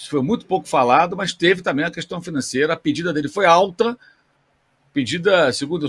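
Using a normal speaking voice, a man talks at a fairly quick pace with a fairly high pitch and lively intonation. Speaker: sports journalist. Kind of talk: casual chat.

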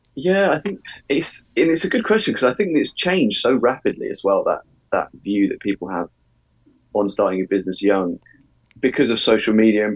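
A moderate pace, with dry, close sound and no echo. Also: man. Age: 20s. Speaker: marketing agency founder. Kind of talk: interview.

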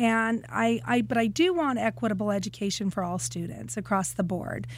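Somewhat breathy, a woman speaks at a moderate pace with very wide pitch swings. The recording is very clean, with a silent background. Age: 50s. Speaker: city council candidate and kindergarten teacher. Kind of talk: interview.

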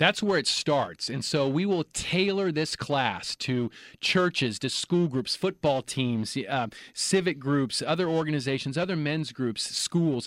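An unremarkable speaking voice at a fairly slow pace with ordinary pitch variation, recorded very cleanly against a silent background, with a dry, close sound and no echo. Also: man, fairly high pitch for a man. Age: 40s. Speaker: nonprofit advocacy coordinator, former government investigator. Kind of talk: interview. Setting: studio.

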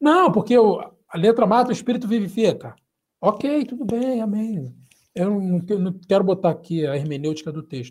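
A man with a Rio de Janeiro accent speaks at a high pitch. His intonation is lively and his pace moderate. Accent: Rio de Janeiro (carioca). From Brazil, Rio de Janeiro. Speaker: pastor, mission agency director. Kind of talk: interview. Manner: halting.

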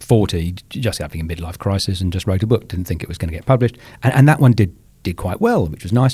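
On a very clean recording with a silent background, a man talks at a very fast pace in a dark, mellow, somewhat breathy tone, his intonation lively and his loudness swinging widely. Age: 50s. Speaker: author and podcaster. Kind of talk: casual chat.

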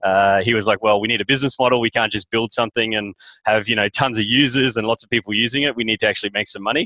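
Talking at a very fast pace in an Australian accent, a man uses a bright, sharp tone at medium pitch with fairly even intonation, in a dry, close sound with no echo. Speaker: startup founder and CEO. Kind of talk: interview.

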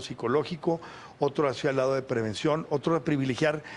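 Speaking in an ordinary speaking voice, a man keeps a moderate pace, his fairly high pitch showing ordinary pitch variation. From Torreón, Coahuila, northern Mexico. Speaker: mayor, politician. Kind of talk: interview. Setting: municipal office, live broadcast.

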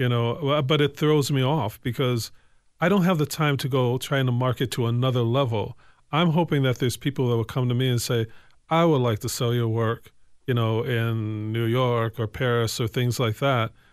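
With a plain, everyday voice and an American accent, a man speaks at a medium pitch and moderate pace, with ordinary pitch variation and very even loudness. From Evanston, Illinois. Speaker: artist. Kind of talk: casual chat.

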